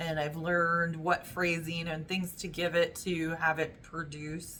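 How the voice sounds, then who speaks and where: At a fairly slow pace, a woman speaks with a fairly low pitch and a bright, sharp tone. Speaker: YouTuber sharing job search experience. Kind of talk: casual vlog talk to camera. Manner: hesitant, many fillers.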